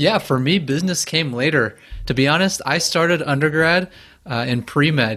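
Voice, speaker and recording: Fairly high male voice at a moderate pace with very even loudness. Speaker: business founder. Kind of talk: casual interview chat. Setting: video call. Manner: monotone, working on adding intonation.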